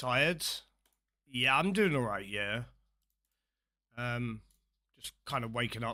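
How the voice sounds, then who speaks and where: A British-accented man, medium-pitched, with a bright, sharp tone, ordinary pitch variation, a fairly slow pace and long, frequent pauses, in a very clean recording with a silent background. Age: 30s. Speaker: game streamer. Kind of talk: live stream chat.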